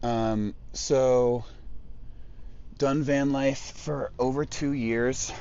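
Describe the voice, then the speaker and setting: A man with an American accent talks at a very slow pace in a medium pitch with monotone, flat intonation. Long pauses come often, and the room echo is audible. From California central coast. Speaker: van life live streamer. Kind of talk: casual live stream chat. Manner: loud; halting, many fillers.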